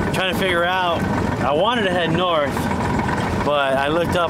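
A man at a moderate pace with ordinary pitch variation, over loud background noise. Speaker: guest. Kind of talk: casual vlog chat. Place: boat.

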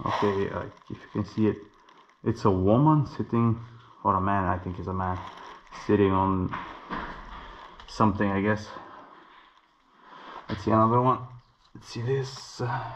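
A man at fairly low pitch, ordinary pitch variation and moderate pace, with big swings in loudness, long, frequent pauses and light background noise. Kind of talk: casual vlog commentary. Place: hall. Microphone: phone near.

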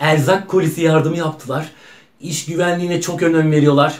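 This is a man's voice. His pitch sits high. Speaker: actor playing a factory worker on a phone call. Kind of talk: acted phone call monologue, casual. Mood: happy, proud. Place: home room. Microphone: camera far.

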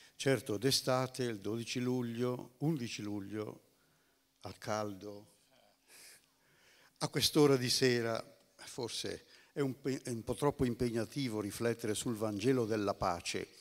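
Against a quiet background, a man speaks fairly slowly with fairly even intonation, leaving long, frequent pauses. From northern Italy, Bergamo; Italy. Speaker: theology speaker; speaker. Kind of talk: lecture. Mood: calm, reflective. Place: stage.

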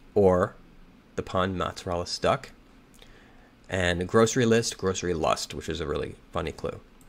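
A man with a very deep, low pitch speaks with long, frequent pauses. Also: ordinary pitch variation, moderate pace. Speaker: crossword solving youtuber. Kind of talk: think-aloud puzzle solving. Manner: halting, thinking aloud. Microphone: webcam.

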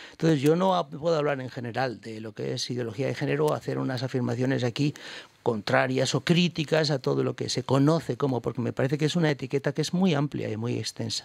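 Talking at a very fast pace, a man with a medium pitch and ordinary pitch variation shows vocal fry in a dry sound with no echo. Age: 60s. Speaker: bishop. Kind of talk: radio interview. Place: studio. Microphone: studio mic.

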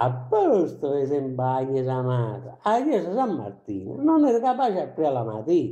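In an Apulian accent, a man speaks at a moderate pace with a dark, mellow tone. His pitch swings very widely, and audible room echo surrounds him. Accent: Ginosa dialect of Apulia. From Apulia, southern Italy. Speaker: poet. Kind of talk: poetry reading. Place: home room. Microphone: camera far.

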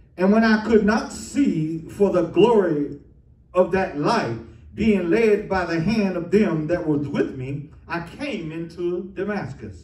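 The speech moves at a very slow pace. Audible room echo surrounds it. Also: man. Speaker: preacher. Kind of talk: sermon scripture reading. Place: church.

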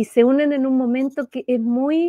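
Against a quiet background with a dry sound and no echo, a woman with a high voice and a dark, mellow tone speaks at a moderate pace with fairly even intonation. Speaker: spiritual author; interview guest. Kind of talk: spiritual talk in interview. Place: home room. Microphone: unstable connection; video call.

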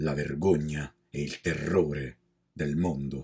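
A man with a very deep, low voice and vocal fry speaks in a solemn tone at a very slow pace. The background is quiet. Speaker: cultural magazine editor. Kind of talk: poem read aloud, solemn civic commemoration of the Resistance. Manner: solemn, defiant, measured declamation with weighty pauses; formal, rising and forceful, addressing the enemy directly. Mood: solemn, defiant. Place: home room. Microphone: studio mic.

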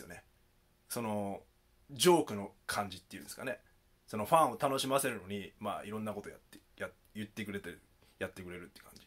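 A man's very fast speech broken by long, frequent pauses, with big swings in loudness. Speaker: YouTuber; rap commentary vlogger. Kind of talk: video commentary. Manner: calm and earnest. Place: home room.

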